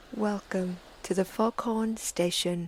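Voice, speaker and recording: A soft-spoken woman's voice at medium pitch, somewhat breathy, flat and monotone, at a fairly slow pace. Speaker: sleep story narrator. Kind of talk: podcast introduction. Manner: soft-spoken, slow.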